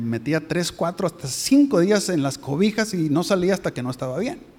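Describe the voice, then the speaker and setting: Over noticeable background noise, a man talks very fast with lively intonation. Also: hardly any pauses. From Mexico. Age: 50s. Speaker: visiting pastor. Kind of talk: sermon. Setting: church.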